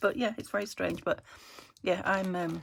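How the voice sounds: A woman speaks at a moderate pace in a croaky voice.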